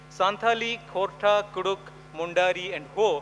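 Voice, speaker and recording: A man with a high pitch and ordinary pitch variation, over noticeable background noise. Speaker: education specialist, conference speaker. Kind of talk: conference talk. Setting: stage with audience.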